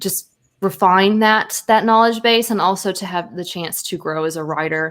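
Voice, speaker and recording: On a very clean recording with a silent background, a woman speaks quietly at a moderate pace and medium pitch, with ordinary pitch variation. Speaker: photographer, writer and grad student teaching college English. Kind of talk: casual interview chat.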